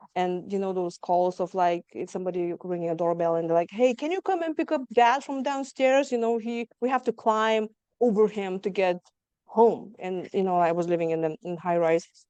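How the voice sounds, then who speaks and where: A woman's dark, mellow voice with a slight Lithuanian accent at a moderate pace, dry and close with no echo. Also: medium pitch for a woman. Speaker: trauma survivor guest. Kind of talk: interview testimony.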